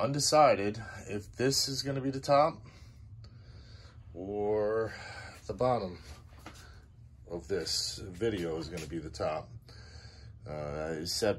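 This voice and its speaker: A man with a fairly low-pitched voice talks at a fairly slow pace, with long, frequent pauses and light background noise. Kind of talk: casual vlog chat. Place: garage. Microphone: phone near.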